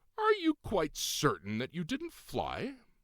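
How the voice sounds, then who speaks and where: Put-on character voice from a man, pitched extremely high, delivered at a fairly slow pace. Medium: read story. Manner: formal, archaic.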